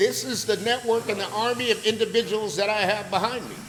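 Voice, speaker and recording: Noticeable background noise beneath fairly quick speech. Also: man. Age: 60s. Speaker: podcast host, business motivator. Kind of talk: casual motivational talk. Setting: barbershop. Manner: animated.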